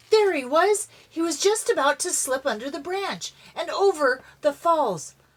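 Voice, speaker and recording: The delivery has a dramatic tone. Noticeable background noise can be heard. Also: woman. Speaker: grandmother reading to kids. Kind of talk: storybook narration. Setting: inside a camper. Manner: expressive, dramatic.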